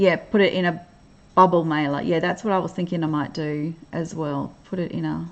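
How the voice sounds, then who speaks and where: A woman with an Australian accent, fairly low-pitched and relaxed in tone, at a moderate pace with fairly even intonation. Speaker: crafting livestreamer. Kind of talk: casual chat. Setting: livestream. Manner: relaxed, hesitant with fillers.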